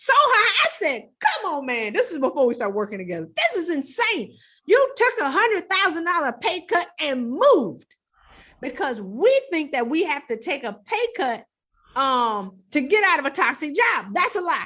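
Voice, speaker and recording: A woman speaks at a moderate pace in an extremely high, bright, sharp voice, raised and projected, with an animated tone and very wide pitch swings. The recording is very clean, with a silent background. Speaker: executive coach. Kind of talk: podcast interview. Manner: loud.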